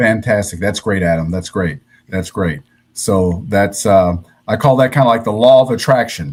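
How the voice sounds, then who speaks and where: In an American accent, a man with a fairly low pitch and a normal speaking voice talks at a moderate pace with ordinary pitch variation. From US Midwest, Cincinnati, Ohio. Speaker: podcast host. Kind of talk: interview.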